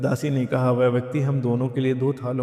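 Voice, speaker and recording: With noticeable background noise behind him, a man speaks at a medium pitch in a calm tone, his intonation monotone and flat. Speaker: devotional chant and story reader. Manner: calm, devotional.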